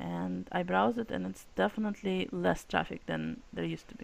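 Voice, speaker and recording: Speaking at a moderate pace, a woman talks with a Russian accent. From Russia / former Soviet republic. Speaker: publishing company CEO. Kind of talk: casual chat.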